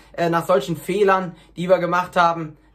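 With a high pitch and a fairly bright tone, a man talks at a moderate pace with little pitch movement.

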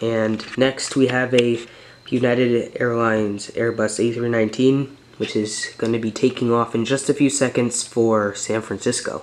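Over light background noise, a man talks at a fairly slow pace with monotone, flat intonation. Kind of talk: casual hobby showcase narration. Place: home room. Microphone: phone near.

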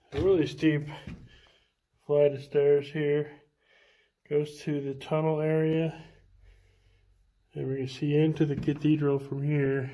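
This man's voice is dark, mellow and somewhat breathy, with monotone, flat intonation. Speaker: paranormal tour guide. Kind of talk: casual walkthrough narration. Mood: hushed, exploratory. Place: tunnel cave. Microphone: phone near.

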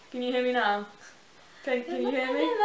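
Quick-ish and playful in tone, a woman with a fairly high pitch speaks amid audible room echo. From United Kingdom. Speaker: vlogger. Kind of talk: casual talk to camera. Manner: casual, playful. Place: home room. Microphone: camera far.

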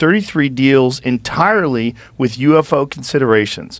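In a dry recording with no echo and a quiet background, a man speaks fairly slowly with ordinary pitch variation. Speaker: podcast host. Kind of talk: reading aloud a text. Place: studio. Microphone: studio mic.

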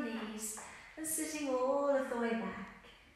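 There is strong room echo as a woman speaks at a very slow pace, with a high pitch and ordinary pitch variation. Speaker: exercise instructor. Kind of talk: tutorial. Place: empty room.

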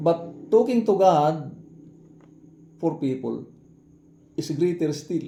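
A man's fairly high-pitched voice, dark and mellow in tone, at a very slow pace with long, frequent pauses and ordinary pitch variation. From Samar, Philippines. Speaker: Baptist pastor. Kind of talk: sermon, Bible teaching in Tagalog with English terms. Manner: earnest, preacherly, repeats phrases, halting with fillers.

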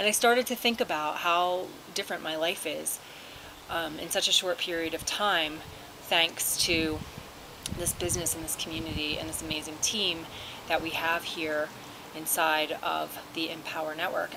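Over noticeable background noise, a woman with a fairly low pitch speaks at a moderate pace in a fairly even intonation. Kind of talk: casual vlog chat. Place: garden. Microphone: phone near.

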